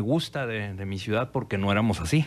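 A man's fairly low voice, moderate in pace, with lively intonation. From Torreón, northern Mexico; northern Mexico. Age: 40s. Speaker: political scientist and historian; interview guest. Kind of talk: radio interview. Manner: halting, many fillers and repetitions. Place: studio. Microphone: studio mic.

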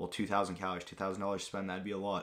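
In a bright, sharp tone, a man speaks at a fairly quick pace over light background noise. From Greece. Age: young. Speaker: fitness youtuber. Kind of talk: casual vlog Q&A. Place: home room. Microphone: new mic; webcam.

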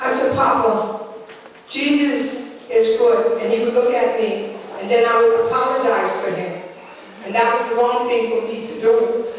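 Over light background noise and strong room echo, a woman speaks at a moderate pace with a fairly high pitch. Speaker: preacher, prophetess. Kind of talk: sermon. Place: church.

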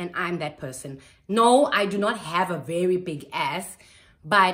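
With a quiet background, the woman talks at a very slow pace. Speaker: lifestyle vlogger. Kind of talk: casual haul vlog chat. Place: home room. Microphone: phone near.

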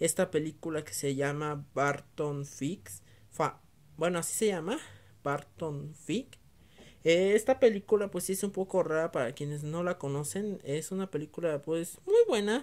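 In a normal speaking voice, a woman talks at a fairly slow pace with a fairly low pitch for a woman. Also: lively intonation. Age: 20s. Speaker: VHS collector YouTuber. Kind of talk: casual video review. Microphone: phone near.

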